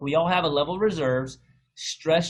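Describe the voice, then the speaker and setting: A man speaks at a moderate pace with a fairly high pitch, ordinary pitch variation and a somewhat breathy sound. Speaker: health coach presenter. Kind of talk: webinar presentation.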